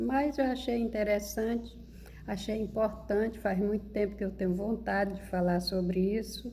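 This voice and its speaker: A woman talks fairly slowly, and audible room echo follows her words. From rural Brazil. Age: 60s. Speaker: spiritual video creator. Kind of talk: monologue to camera. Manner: informal, conversational.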